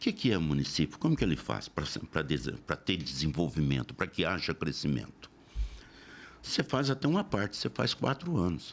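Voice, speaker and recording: A man with a very deep, low pitch and vocal fry speaks at a moderate pace. His pitch swings very widely while his loudness stays very even. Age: 70s. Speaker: local politician. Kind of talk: interview.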